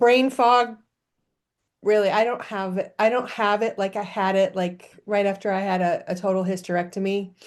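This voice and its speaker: A woman with a normal speaking voice talks at a moderate pace in a medium pitch, her intonation fairly even against a quiet background. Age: 60s. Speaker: interview guest. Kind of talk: casual chat. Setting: video call.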